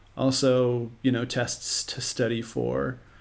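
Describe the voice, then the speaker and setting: Very slowly, a speaker talks in an American accent. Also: man. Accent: American with occasional Southern twang. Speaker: podcast host and musician. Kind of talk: casual chat.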